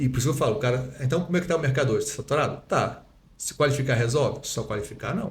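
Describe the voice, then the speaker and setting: A somewhat breathy man at a fairly high pitch, with ordinary pitch variation and a very fast pace. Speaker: dentist and lecturer. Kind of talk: podcast interview. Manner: swallows words.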